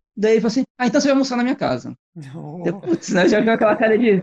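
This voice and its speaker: A man's high voice at a very fast pace, with lively intonation and a dry, close sound with no echo. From Brazil, São Paulo city. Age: 40s. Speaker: bicycle traveler and former sailor. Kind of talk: casual interview.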